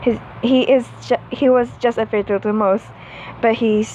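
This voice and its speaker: A woman's fairly even intonation at a moderate pace, with noticeable background noise. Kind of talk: read-aloud fan fiction story. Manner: stuttering, halting reading.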